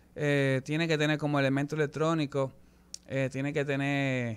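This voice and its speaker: With a Dominican accent, a man speaks at a moderate pace in a fairly high pitch with monotone, flat intonation. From Dominican Republic. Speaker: musician; guest. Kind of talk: interview. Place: studio. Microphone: studio mic.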